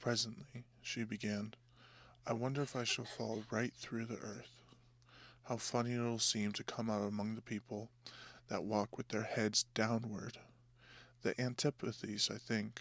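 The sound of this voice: Soft-spoken and at a medium pitch, a man talks in monotone, flat intonation with long, frequent pauses, on a very clean recording with a silent background. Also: fairly slow pace.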